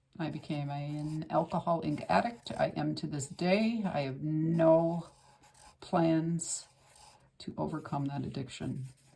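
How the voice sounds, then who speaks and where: A woman speaks at a fairly slow pace in a very deep, low voice, somewhat breathy, with a dark, mellow tone and ordinary pitch variation. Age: 60s. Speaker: art instructor. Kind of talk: tutorial. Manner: casual, conversational with fillers.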